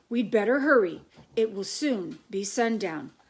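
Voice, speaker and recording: Putting on a raspy character voice, a woman speaks at a fairly high pitch and moderate pace with ordinary pitch variation. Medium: read story. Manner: warm, kindly.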